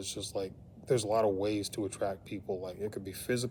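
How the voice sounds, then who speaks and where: A man's fairly low, dark, mellow voice with fairly even intonation and an American accent. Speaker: vlogger. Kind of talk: casual vlog monologue. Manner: halting, repetitive filler.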